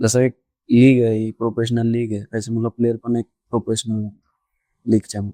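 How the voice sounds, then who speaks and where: A soft-spoken man talks in a dark, mellow tone at medium pitch. His intonation is monotone and flat. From Raigad district, Maharashtra, India. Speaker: professional kabaddi player. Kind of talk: interview answer.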